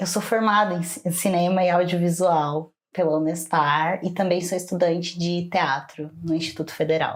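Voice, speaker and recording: This woman's voice sits fairly low in pitch, with fairly even intonation. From Ourinhos, interior São Paulo, Brazil. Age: 20s. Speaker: drag king and cultural producer. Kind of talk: interview.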